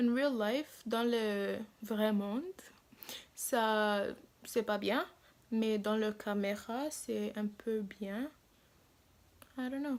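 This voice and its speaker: A woman speaks very slowly, with long, frequent pauses. Her pitch is fairly high and her intonation fairly even. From Africa. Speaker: beauty vlogger. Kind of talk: makeup tutorial. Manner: halting.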